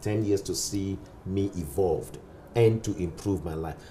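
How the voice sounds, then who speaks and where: A man speaks at a moderate pace while background noise is clearly noticeable. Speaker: pastor. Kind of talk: interview.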